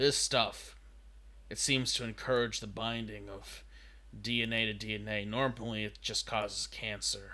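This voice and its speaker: Doing a put-on character voice, a man speaks raspily at a moderate pace. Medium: actual play. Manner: fast, anxious.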